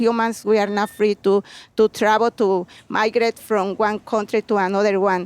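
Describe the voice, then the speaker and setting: A woman speaks with a Mexican accent at medium pitch and a moderate pace, her intonation monotone and flat. Her loudness stays very even, and the sound is dry and close with no echo. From Mexico, Puebla. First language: Spanish. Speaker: home gardener, butterfly sanctuary keeper. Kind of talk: interview. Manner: halting.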